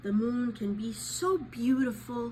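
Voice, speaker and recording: A female-sounding voice performs a put-on character voice at a fairly slow pace. Background noise is clearly audible. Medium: read story.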